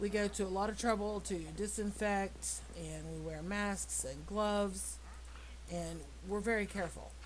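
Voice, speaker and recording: A woman speaks at a fairly slow pace. Room echo can be heard. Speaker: gaming video creator and jail worker. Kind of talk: casual gameplay commentary. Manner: blunt, direct.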